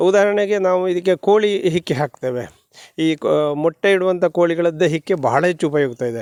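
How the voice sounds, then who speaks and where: A man with a high pitch and ordinary pitch variation is heard in a dry, close sound with no echo. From Dakshina Kannada, Karnataka (Sullia taluk). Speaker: retired soldier turned farmer. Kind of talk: interview. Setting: outdoors on farm.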